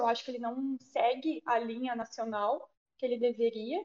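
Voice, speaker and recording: A woman is speaking. Her pace is moderate. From southern Brazil, Rio Grande do Sul. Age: 20s. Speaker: local politician, youth party leader. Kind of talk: podcast interview.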